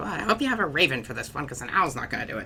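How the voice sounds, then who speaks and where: Over clear background noise, a croaky put-on character voice races along at a very fast pace at a low-to-middle pitch. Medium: actual play.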